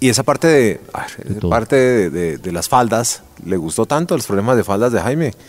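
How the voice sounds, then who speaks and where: Noticeable background noise sits under a man's medium-pitched voice. He moves at a moderate pace with very wide pitch swings. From Colombia. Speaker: podcast host, former news presenter. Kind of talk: interview. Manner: hesitant, many fillers and repetitions.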